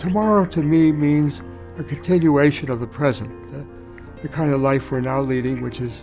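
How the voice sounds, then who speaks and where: A man with a fairly high pitch talks at a moderate pace with lively intonation, music playing in the background. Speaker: caregiver. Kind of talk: interview answer.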